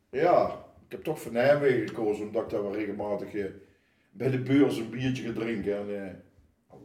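Dark, mellow tone from a man at a moderate pace, ordinary pitch variation and audible room echo. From Netherlands, Oosterhout (Gelderland). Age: 60s. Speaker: carnival committee member. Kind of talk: casual chat. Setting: kitchen table at home.

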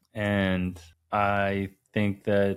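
A man speaks with fairly low pitch and an American accent, in a flat monotone. The recording is very clean, the background silent. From New Jersey. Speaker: podcast co-host. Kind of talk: casual chat.

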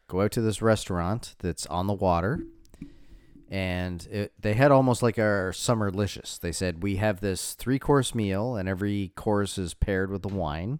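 A man with a plain, everyday voice, fairly low in pitch with ordinary variation, at a moderate pace, in a very clean recording with a silent background. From Canadian East Coast. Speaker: podcast co-host. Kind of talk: casual chat. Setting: home office studio.

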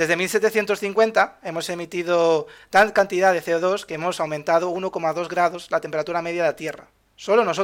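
Speaking at a moderate pace, a man uses high pitch and fairly even intonation on a very clean recording with a silent background. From Valencia, Spain. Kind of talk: casual explanatory chat. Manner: halting, many repetitions.

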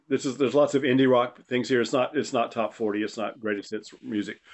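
A man talks at a very fast pace with an eastern North Carolina accent. His pitch varies in an ordinary way. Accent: Southern US (eastern North Carolina). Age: 70s. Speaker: retired chef. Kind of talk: casual interview chat. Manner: halting, many fillers.

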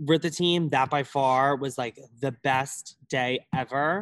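In a dry, close sound with no echo and a quiet background, a man speaks at a medium pitch with an American accent. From Long Island, New York. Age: 20s. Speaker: college dancer. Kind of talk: casual interview.

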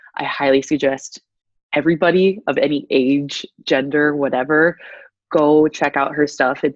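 Here a woman speaks in a very deep, low voice with an American accent. Her intonation stays fairly even. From US Midwest, Iowa. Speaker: former pageant contestant and motivational speaker. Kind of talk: casual interview.

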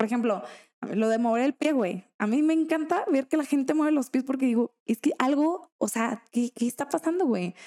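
A woman's high voice, dark and mellow in tone, with lively intonation, very even loudness, a moderate pace and a dry, close sound with no echo. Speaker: podcast co-host. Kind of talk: casual chat.

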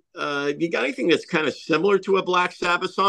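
This is a man with a high pitch. His tone is bright and sharp. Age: 60s. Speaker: rock guitarist. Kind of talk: casual interview chat.

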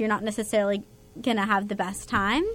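With noticeable noise behind her, a woman talks in an American accent at a very fast pace. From California, San Diego area. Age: young. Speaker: nursing student. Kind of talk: casual interview chat.

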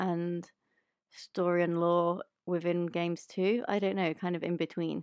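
The recording is very clean, its background silent, with a dry, close sound and no echo. The speaker is a woman. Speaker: podcast host. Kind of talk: casual chat.

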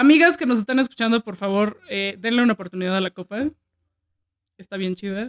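With a Mexican accent, a woman speaks at a fairly high pitch and a fairly quick pace, her intonation lively and the sound dry and close with no echo. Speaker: podcast host. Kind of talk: casual chat. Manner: animated.

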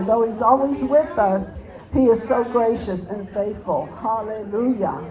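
A woman's voice with crowd noise in the background. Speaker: prayer meeting leader. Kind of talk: prayer. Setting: stage with audience.

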